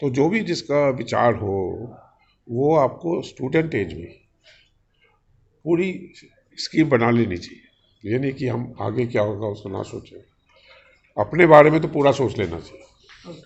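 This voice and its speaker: This man speaks at a medium pitch with lively intonation and big swings in loudness. His voice is somewhat breathy, with long, frequent pauses. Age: 70s. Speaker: industrialist and spiritual speaker. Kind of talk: interview.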